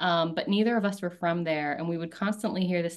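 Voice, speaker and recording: A woman with a fairly low pitch and an American accent, talking at a very fast pace over a quiet background. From rural North Carolina, US South. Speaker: startup founder and CEO. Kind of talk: interview.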